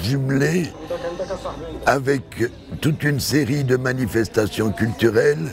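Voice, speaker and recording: A man's medium-pitched voice with music in the background. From Belgium. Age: 80s+. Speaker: architect. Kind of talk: interview statement. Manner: halting.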